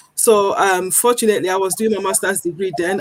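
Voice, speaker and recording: A woman of medium pitch speaks with a Nigerian accent. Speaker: founder of an anti-accent-discrimination initiative. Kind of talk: TV talk show presentation.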